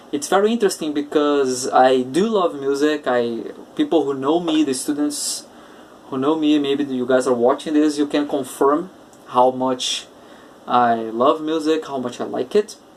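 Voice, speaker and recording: A man's fairly high voice with a Portuguese accent, moderate pace and ordinary pitch variation, over noticeable background noise. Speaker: English teacher. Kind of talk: podcast monologue.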